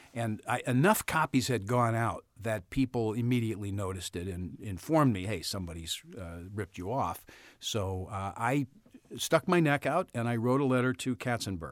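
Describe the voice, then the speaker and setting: On a very clean recording with a silent background, a man with an American accent speaks at a moderate pace in a medium-pitched voice with lively intonation. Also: dry, close sound with no echo. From US Midwest, St. Louis. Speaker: story consultant and author. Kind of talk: interview. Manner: halting.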